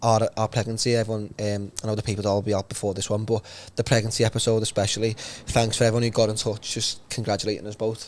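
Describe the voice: A man's fairly low voice with a slightly mellow tone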